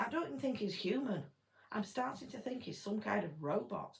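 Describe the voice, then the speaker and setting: In an English accent, a woman speaks at a moderate pace with a fairly high pitch. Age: 50s. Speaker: gardening vlogger. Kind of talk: political rant. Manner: animated.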